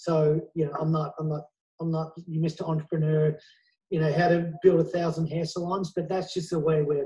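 A man's monotone, flat delivery, fairly high in pitch for a man, with a dark, mellow tone, a moderate pace and a quiet background. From Australia. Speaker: celebrity hair stylist and salon owner; interviewee. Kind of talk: interview; interview answer. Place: home room. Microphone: earbuds.

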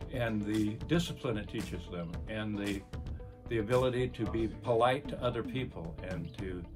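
Clear music plays in the background as the speaker talks at a moderate pace with ordinary pitch variation. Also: man, fairly low pitch for a man. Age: 80s+. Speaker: retired police officer. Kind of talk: interview answer. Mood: warm, appreciative. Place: office. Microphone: phone near.

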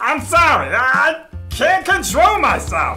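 A cartoonish character voice, high in pitch and fairly slow, over faint background music. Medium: puppet show. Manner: sassy, excitable, impatient; aggressive, eager to destroy germs.

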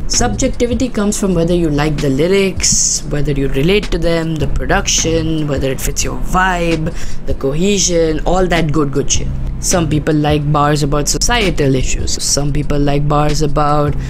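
A man speaks at a moderate pace with ordinary pitch variation and very even loudness. Noticeable background noise runs behind him. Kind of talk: casual commentary. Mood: casual, irreverent, joking. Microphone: handheld.

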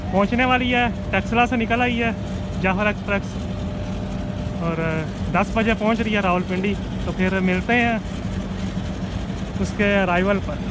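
The speech has long, frequent pauses over loud background noise. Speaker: train enthusiast vlogger. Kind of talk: casual vlog commentary. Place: station. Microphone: phone near.

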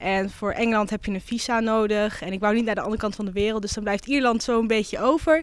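This woman's voice is fairly high in pitch and moves at a fairly quick pace. The sound is dry, with no echo. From Netherlands, Twente (Almelo); Netherlands. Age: 20s. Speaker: local councillor and psychology student; local councillor. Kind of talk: interview. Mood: warm, reflective. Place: hall. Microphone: handheld.

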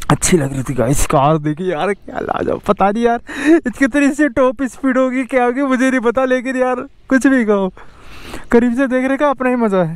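Speaking at a moderate pace, a man uses an extremely high pitch with ordinary pitch variation.

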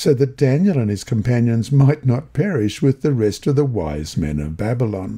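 Somewhat breathy and dark, mellow in tone, this is a man's voice. His pitch swings very widely. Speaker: Bible lesson reader and prayer leader. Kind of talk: reading aloud and prayer.

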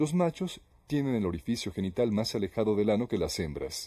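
A man with a fairly low pitch and a dark, mellow tone, somewhat breathy, fairly quick pace and very wide pitch swings. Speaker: documentary narrator. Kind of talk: nature documentary narration. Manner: even, measured, formal narrator delivery.

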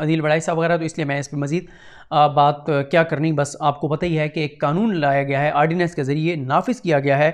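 Against a quiet background, a man speaks at a moderate pace with fairly even intonation. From Pakistan. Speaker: news commentator. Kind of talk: news commentary monologue. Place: home room. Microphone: lapel.

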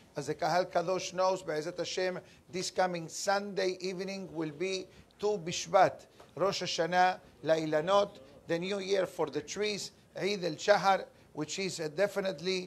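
A man speaks in a high pitch. His intonation is monotone and flat. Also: moderate pace. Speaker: religious teacher. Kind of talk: lecture. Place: office. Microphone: lapel.

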